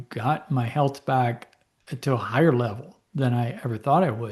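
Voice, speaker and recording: Against a quiet background, a man speaks at a medium pitch, somewhat breathy, with ordinary pitch variation. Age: 60s. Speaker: physician and herbal medicine educator. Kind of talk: lecture. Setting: presentation to a support group audience.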